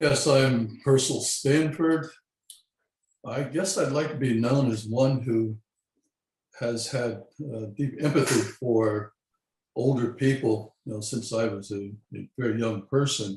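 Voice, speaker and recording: With medium pitch and ordinary pitch variation, a man speaks at a fairly slow pace, somewhat breathy, with long, frequent pauses. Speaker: gerontology pioneer. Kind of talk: live webcast interview.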